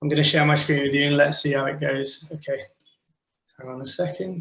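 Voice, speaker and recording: Fairly quick and fairly high-pitched, a man talks with a British accent in a monotone, flat intonation, his loudness swinging widely. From Wales. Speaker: animation director. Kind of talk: online talk presentation. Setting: video call from office.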